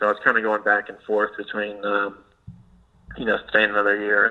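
A man speaking at a moderate pace. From US South, western North Carolina. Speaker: golf equipment rep, former pro golfer. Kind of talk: casual interview.

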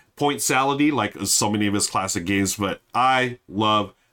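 A man with an American accent and a bright, sharp tone speaks at a fairly slow pace with a fairly low pitch and ordinary pitch variation. The recording is very clean with a silent background. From US, Filipino American family. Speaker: board game podcast host. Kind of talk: casual solo review. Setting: live stream. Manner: casual, filler-heavy.

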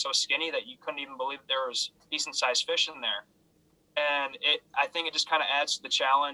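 A man speaks very fast in a fairly high pitch, his intonation flat and monotone, the sound dry and close with no echo. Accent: American. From Minnesota, Twin Cities area. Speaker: small business owner. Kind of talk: podcast interview.

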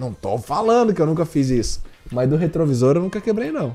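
Intonation is lively over a dark, mellow tone. The pace is fairly quick. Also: man. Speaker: podcast guest. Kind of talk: casual chat.

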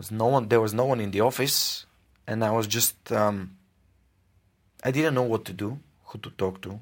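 Pausing long and often, a man at medium pitch speaks at a moderate pace with fairly even intonation and big swings in loudness. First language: Bulgarian. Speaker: podcaster. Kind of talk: interview.

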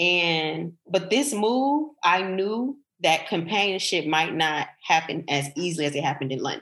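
A woman with an American accent has an unremarkable speaking voice, fairly low in pitch with lively intonation. She speaks at a fairly slow pace with hardly any pauses. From United States. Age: 30s. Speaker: tech entrepreneur. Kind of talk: casual interview.

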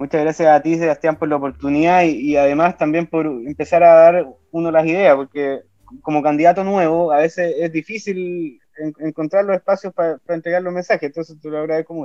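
With a dark, mellow tone and fairly high pitch, a man talks at a fairly quick pace in fairly even intonation, in a dry, close sound with no echo. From southern Chile (Osorno). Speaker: political candidate. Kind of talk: interview. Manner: halting, frequent repetitions.

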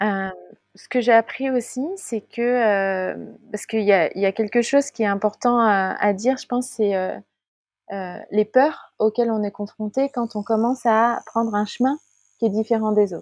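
With an unremarkable speaking voice, a woman talks at a fairly slow pace in a fairly high pitch and fairly even intonation, her loudness swinging widely in a dry, close sound with no echo over a quiet background. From Paris region, France. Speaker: life coach. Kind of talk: interview.

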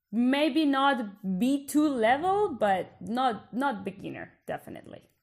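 Speaking at a very slow pace with a Colombian accent, this woman has a high pitch and lively intonation. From Bogota, Colombia. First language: Spanish. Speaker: podcast host, PhD researcher. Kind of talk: casual conversational podcast chat.

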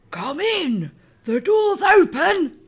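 A wheezy, put-on character voice sits at an extremely high pitch with very wide pitch swings. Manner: calling out from bed.

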